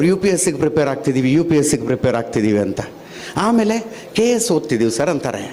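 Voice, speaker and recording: The voice makes very wide pitch swings. Noticeable background noise and audible room echo fill the recording. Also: man. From Dharwad district, north Karnataka. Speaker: journalist giving a speech. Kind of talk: public speech. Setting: stage at a public event.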